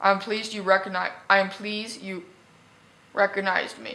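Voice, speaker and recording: Raspy and wheezy, a woman's put-on character voice runs at a fairly quick pace with a medium pitch and monotone, flat intonation. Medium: read story.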